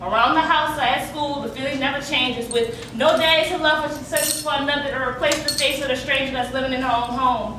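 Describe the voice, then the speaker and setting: Amid noticeable background noise, a woman with a high pitch speaks at a very fast pace in a raised, projected voice, her intonation fairly even. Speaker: slam poet. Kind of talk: spoken word poetry performance.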